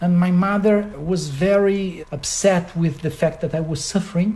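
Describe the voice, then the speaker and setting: In a Portuguese accent, a man speaks at a moderate pace. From Brazil. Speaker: concert pianist. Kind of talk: interview. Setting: at his home.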